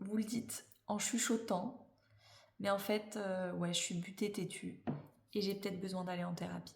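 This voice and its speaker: Somewhat breathy, a woman speaks at a fairly slow pace and medium pitch with fairly even intonation. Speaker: tarot reader and life coach. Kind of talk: astrology tarot reading.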